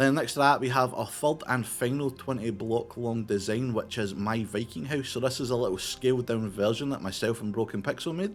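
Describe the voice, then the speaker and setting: With a Scottish accent and medium pitch, a man speaks fairly quickly with hardly any pauses on a very clean recording with a silent background. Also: ordinary pitch variation. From Scotland. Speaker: gaming YouTuber. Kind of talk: gameplay commentary. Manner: casual.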